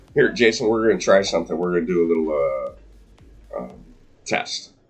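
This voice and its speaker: Over music in the background, a man talks at a fairly quick pace with big swings in loudness. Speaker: pool commentator. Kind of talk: live commentary. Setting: commentary booth.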